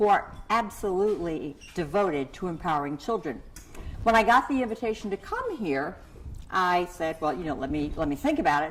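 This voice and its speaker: Amid noticeable background noise, a woman with an American accent speaks at a medium pitch with lively intonation. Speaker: keynote speaker and parenting researcher. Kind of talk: keynote speech.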